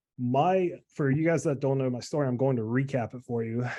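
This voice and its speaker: A man with a dark, mellow tone moves at a fairly quick pace, the background quiet. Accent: American. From US South, South Carolina. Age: 20s. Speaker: online health coach. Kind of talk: motivational talk, personal story. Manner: casual, many fillers.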